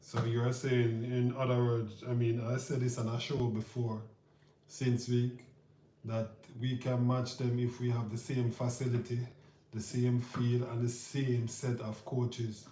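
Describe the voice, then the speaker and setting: Over noticeable background noise, a man speaks at a medium pitch and a fairly slow pace. His intonation is monotone and flat. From Jamaica. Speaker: youth football trip organizer and vlogger. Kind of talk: on-camera interview. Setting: Spain, at a football training facility.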